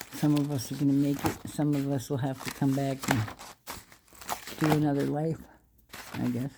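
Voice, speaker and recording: A woman with a very deep, low pitch speaks in a flat monotone at a moderate pace. She leaves long, frequent pauses, and there is noticeable background noise. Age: 60s. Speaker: vlogger. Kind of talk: casual monologue. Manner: halting.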